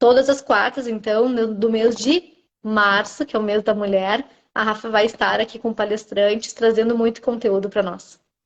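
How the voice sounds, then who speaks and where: This woman has a normal speaking voice with fairly high pitch. Her intonation stays fairly even at a moderate pace. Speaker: orthomolecular nutritionist. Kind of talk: live-stream interview.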